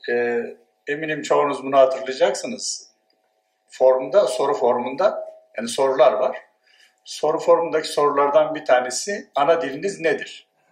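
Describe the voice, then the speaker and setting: Audible echo fills the room as a man talks at a moderate speed. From Turkey, Dersim. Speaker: sociology professor. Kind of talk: conference talk. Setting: conference with audience.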